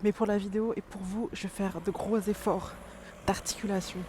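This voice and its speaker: A woman is mumbling. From France, Dijon (Burgundy). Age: 30s. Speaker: vlogger. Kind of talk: casual vlog talk. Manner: mumbling, poorly articulated.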